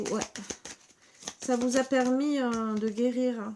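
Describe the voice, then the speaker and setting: At a very slow pace, a woman with a high pitch speaks with fairly even intonation over noticeable background noise. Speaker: tarot reader / psychic. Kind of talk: tarot reading monologue to camera. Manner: stammering, hesitant; casual, chatty.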